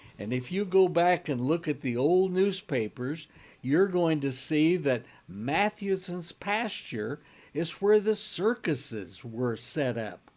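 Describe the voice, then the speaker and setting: A man's fairly high voice with a Midwestern US accent, very slow pace and very wide pitch swings, on a very clean recording with a silent background. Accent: US Midwest. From Kansas, Wichita. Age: 70s. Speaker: local history presenter. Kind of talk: casual storytelling talk. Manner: relaxed, rambling with fillers.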